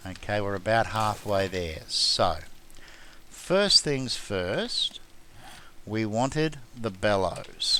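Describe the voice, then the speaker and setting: Speaking very slowly with an Australian accent, a man leaves long, frequent pauses. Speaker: gaming YouTuber. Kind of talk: gameplay commentary tutorial. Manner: casual, hesitant fillers.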